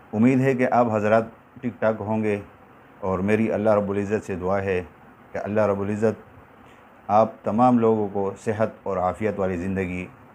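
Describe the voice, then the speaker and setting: A man talks in an ordinary speaking voice, fairly low in pitch, with fairly even intonation. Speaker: Quran reciter and teacher. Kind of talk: religious talk to viewers. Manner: calm, respectful.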